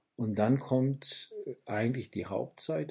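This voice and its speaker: A man speaks at a very slow pace. His tone is dark and mellow, and somewhat breathy. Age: 60s. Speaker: pastor and author. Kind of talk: interview. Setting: office.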